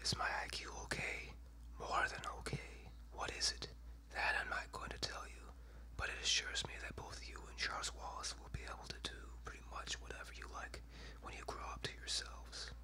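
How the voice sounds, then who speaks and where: A soft-spoken whispering voice comes through over noticeable background noise. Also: moderate pace. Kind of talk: read story. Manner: whispered.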